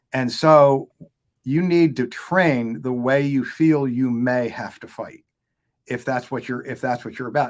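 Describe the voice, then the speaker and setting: A man speaks at a moderate pace in a plain, everyday voice, fairly high in pitch. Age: 60s. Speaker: firearms instructor. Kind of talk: casual chat.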